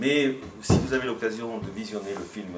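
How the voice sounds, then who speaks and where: Noticeable background noise and audible room echo fill this recording. A man speaks in a fairly low pitch. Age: 60s. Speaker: mayor. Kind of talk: public discussion remarks. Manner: halting, many hesitations.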